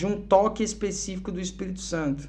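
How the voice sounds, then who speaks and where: There is audible room echo as a man with a São Paulo accent talks at a fairly quick pace. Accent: São Paulo (paulista) Brazilian Portuguese. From Brazil, Curitiba then São Paulo from age 12. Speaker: musician and missionary, podcast guest. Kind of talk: casual podcast interview, testimony.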